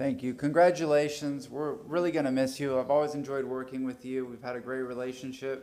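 A man with an American accent has a plain, everyday voice at a medium pitch with fairly even intonation. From Florida. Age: 30s. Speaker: city council member. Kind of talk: public meeting remarks. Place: hall. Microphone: podium.

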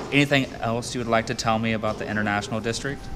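With music in the background, a man talks at a fairly low pitch with ordinary pitch variation. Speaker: vlogger. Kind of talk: casual vlog chat. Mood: playful, teasing. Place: cafe. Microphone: phone near.

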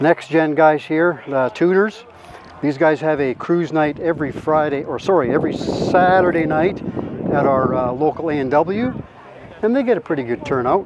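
Loud background noise fills the recording. A man speaks at a moderate pace. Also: ordinary pitch variation, dry sound with no echo. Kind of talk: casual walkaround commentary. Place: open country. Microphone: phone near.

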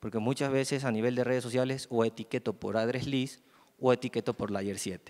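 At a moderate pace, a man talks in an ordinary speaking voice, medium in pitch, with fairly even intonation. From Ecuador, Guayaquil; Ecuador. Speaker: network trainer and consultant; network trainer. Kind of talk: conference presentation. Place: hall.

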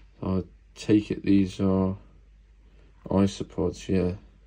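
A man's very deep, low pitch in monotone, flat intonation, against noticeable background noise. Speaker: exotic pet keeper. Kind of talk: casual unboxing talk to camera. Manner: grumpy. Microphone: phone near.

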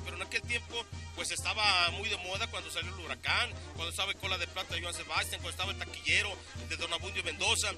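A man talks at a fairly quick pace. The sound is dry with no echo, with clear music in the background. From Mexico. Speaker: rodeo announcer. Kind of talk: interview answer. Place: open country. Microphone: handheld.

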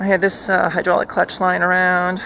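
Speaking at a moderate pace and a fairly low pitch, a woman comes through with light background noise and a dry sound with no echo. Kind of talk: casual walkthrough of bike modifications. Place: garden. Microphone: phone near.

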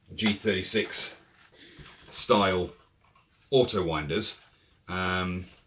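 A man speaks over loud background noise. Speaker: airsoft hobbyist reviewer. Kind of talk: casual product review. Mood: relaxed, unhurried. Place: kitchen. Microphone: camera far.

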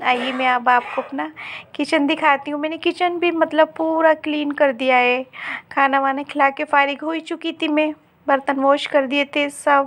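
Over a quiet background, a woman talks fairly slowly in a high pitch with monotone, flat intonation. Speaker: vlogger, housewife. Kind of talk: casual vlog narration.

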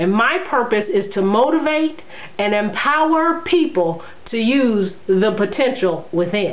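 Lively intonation at a fairly slow pace, with faint background noise. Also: woman, medium pitch for a woman.

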